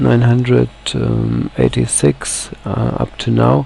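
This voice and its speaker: A man's voice amid noticeable background noise. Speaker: software project founder. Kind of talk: screencast presentation. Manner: halting, many fillers.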